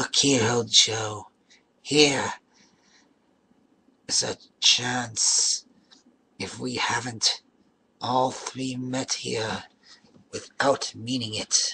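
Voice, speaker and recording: Using a put-on character voice, a man speaks raspy and medium-pitched at a very slow pace, with monotone, flat intonation and long, frequent pauses. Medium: read story. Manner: brash, defiant.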